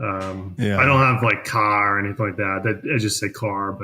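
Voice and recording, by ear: A man with a Boston accent talks at a fairly low pitch, his intonation fairly even. Noticeable background noise runs behind him. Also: moderate pace. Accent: Boston, dropped r sounds.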